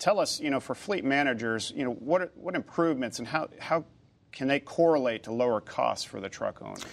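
In a very clean recording with a silent background, a man with a normal speaking voice talks at a fairly quick pace, his fairly high pitch carried by lively intonation. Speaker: moderator and trade association president. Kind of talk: moderated panel discussion. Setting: studio.

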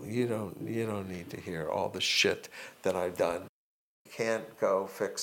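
Talking at a fairly slow pace, a man with an American accent makes big swings in loudness. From Miami, Florida. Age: 60s. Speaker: retired accounting professor. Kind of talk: interview.

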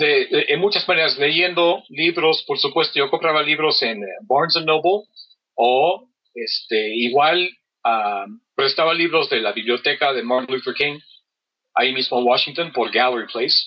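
With an English accent, a man talks at a fairly slow pace and a fairly high pitch, his pitch varying in an ordinary way. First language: English (speaking Spanish). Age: 40s. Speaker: carpet cleaner and polyglot. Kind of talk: interview. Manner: halting, many fillers.

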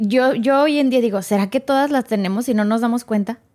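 A woman speaks at a moderate pace in a high pitch with fairly even intonation. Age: 40s. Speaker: former radio and TV presenter. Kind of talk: testimony.

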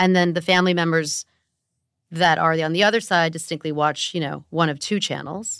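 Here is a woman with an ordinary speaking voice and an American accent, pitched fairly low and delivered at a fairly quick pace with fairly even intonation. The recording is very clean, with a silent background. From US West, Los Angeles. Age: 40s. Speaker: podcast host, media executive. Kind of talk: podcast interview.

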